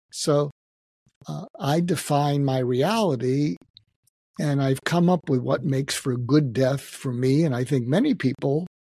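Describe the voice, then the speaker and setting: The man's voice is fairly high and somewhat breathy, with ordinary pitch variation. He talks at a fairly slow pace, and the sound is dry and close with no echo. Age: 70s. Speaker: psychiatrist. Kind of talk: interview.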